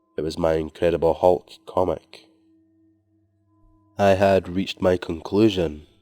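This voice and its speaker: Speaking in a Scottish accent, a man with a very deep, low pitch talks at a fairly slow pace in a flat monotone, with long, frequent pauses and a dry, close sound with no echo. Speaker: horror story narrator. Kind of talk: scary story reading.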